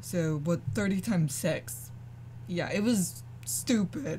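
Light background noise accompanies speech at a very slow pace. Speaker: gamer streamer. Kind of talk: casual gameplay commentary. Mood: mildly annoyed, relaxed. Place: home room.

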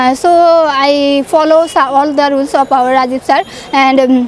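A woman with a Bangladeshi accent speaks at a very slow pace in a high pitch with fairly even intonation, the sound dry with no echo and light background noise. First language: Bengali. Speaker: student sharing English learning success story. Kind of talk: testimonial. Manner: halting, hesitant with fillers. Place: open country. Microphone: lapel.

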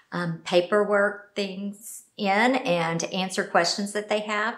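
A woman talks at a very slow pace with fairly even intonation against a quiet background. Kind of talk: interview answer. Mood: friendly, smiling. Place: office.

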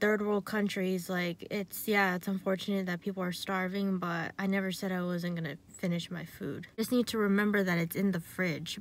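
The dry sound with no echo carries a woman speaking at a moderate pace. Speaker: vlogger. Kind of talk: casual vlog chat. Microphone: phone near.

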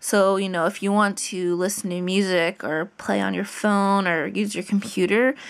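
At a moderate pace and with fairly even intonation, a woman speaks against a quiet background. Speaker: app tutorial narrator. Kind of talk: tutorial. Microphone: phone near.

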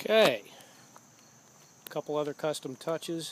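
A man speaks at a fairly high pitch. His pace is fairly slow and his intonation lively.

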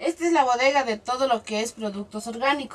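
Against light background noise, a plain, everyday voice speaks at a moderate pace with ordinary pitch variation. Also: woman. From Ecuador, Manabí province. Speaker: small farmer, association member. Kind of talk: interview testimony. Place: farm machine.

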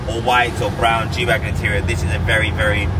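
A man at a fairly quick pace, heavy noise loud behind him. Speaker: car reviewer. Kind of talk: casual car review vlog. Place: car. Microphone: phone near.

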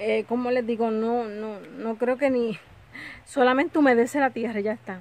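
The recording is dry, with no echo. A woman speaks at a fairly high pitch with fairly even intonation. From Puerto Rico. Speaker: lifestyle vlogger. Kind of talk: casual home vlog. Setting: home kitchen. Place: home room. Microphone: phone near.

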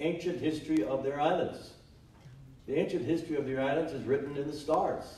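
A man's fairly high-pitched voice with ordinary pitch variation, amid audible room echo. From Hawaii. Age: old. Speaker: retired judge and former politician; panelist. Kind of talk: panel discussion. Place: hall. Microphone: camera far.

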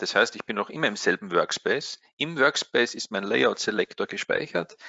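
This is a man talking. He has an Austrian accent. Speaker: trading software support expert. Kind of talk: webinar tutorial.

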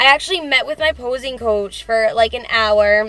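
A woman's voice with ordinary pitch variation, a dry sound with no echo, and faint music in the background. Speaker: fitness vlogger. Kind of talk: casual vlog chat. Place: car. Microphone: phone near.

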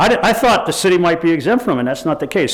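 A high-pitched man's voice with very wide pitch swings over noticeable background noise. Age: 70s. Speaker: public commenter at city council meeting. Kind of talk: public comment. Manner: halting, repetitive.

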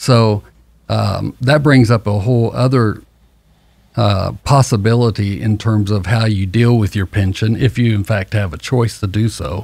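This man talks at a fairly slow pace. His pitch is fairly low, with ordinary variation. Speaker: financial advisor. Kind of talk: radio show discussion. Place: studio. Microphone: studio mic.

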